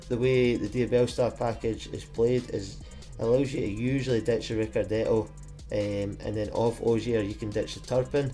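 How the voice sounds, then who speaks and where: With music behind him, a man speaks at a moderate pace. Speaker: card game player. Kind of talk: game commentary. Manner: monotone.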